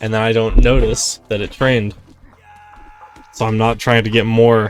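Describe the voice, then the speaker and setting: A man with a medium pitch speaks at a moderate pace in a monotone, flat intonation, with noticeable background noise. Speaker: speedrunner. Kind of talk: gameplay commentary.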